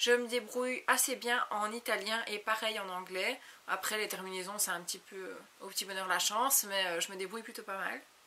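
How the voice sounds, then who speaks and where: Noticeable background noise sits behind a woman's voice. She talks at a moderate pace with a fairly high pitch and ordinary pitch variation. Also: big swings in loudness. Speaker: beauty YouTuber. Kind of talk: casual Q&A vlog. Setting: home video recorded on a compact camera.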